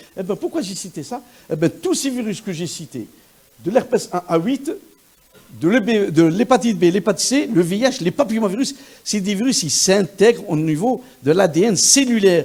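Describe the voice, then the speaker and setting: A high-pitched man's voice, animated and lively in intonation, at a moderate pace. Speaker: virologist. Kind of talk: lecture. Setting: conference hall with audience. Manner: animated, interactive; halting with repetitions.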